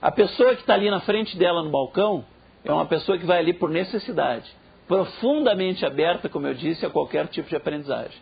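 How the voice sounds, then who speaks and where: A man's high voice with lively intonation at a fairly quick pace. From southern Brazil (Rio Grande do Sul). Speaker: professor. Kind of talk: lecture. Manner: animated.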